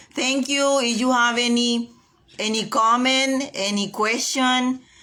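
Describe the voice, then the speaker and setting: This bright, sharp voice speaks at a very slow pace with a non-native accent. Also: woman. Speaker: realtor reading a self-help book. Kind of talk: reading aloud and casual livestream talk. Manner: hesitant, many fillers and repetitions; enthusiastic.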